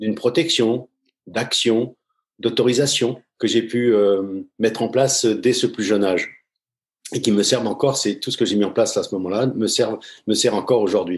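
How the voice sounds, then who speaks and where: A man's medium pitch shows ordinary pitch variation as he talks at a fairly slow pace. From France, Paris suburbs (Seine-Saint-Denis). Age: 60s. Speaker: former pro goalkeeper, football coach, mental coach. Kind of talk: podcast interview. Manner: hesitant, many fillers.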